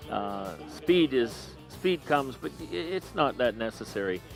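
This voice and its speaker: Music plays in the background as a man speaks. His pitch is medium and his intonation lively. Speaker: auctioneer. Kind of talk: interview answer about auctioneering.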